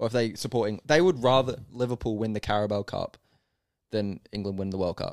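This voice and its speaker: A man with an ordinary speaking voice, medium pitch and ordinary pitch variation, in a very clean, dry, close recording with no echo and a silent background. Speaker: podcast co-host. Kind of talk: casual banter about sports. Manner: rambling, joking, banter.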